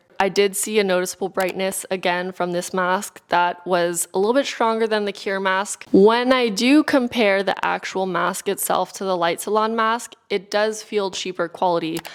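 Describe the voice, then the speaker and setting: Spoken with a Californian accent at a moderate pace, the voice shows ordinary pitch variation and hardly any pauses against noticeable background noise. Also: woman, medium pitch for a woman. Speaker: beauty and wellness YouTuber. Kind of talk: product review.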